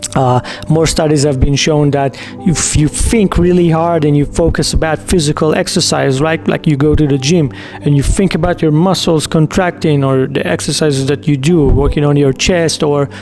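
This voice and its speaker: Over music in the background, a man talks in a fairly high pitch with ordinary pitch variation. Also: moderate pace, very even loudness. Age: 40s. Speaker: entrepreneur and online business vlogger. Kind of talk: casual direct-to-camera talk. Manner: casual with fillers and repetitions.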